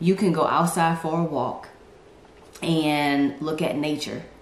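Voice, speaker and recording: Light background noise and audible room echo accompany a woman's very deep, low pitch. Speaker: faith vlogger. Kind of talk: casual vlog chat. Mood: earnest, encouraging. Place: home room.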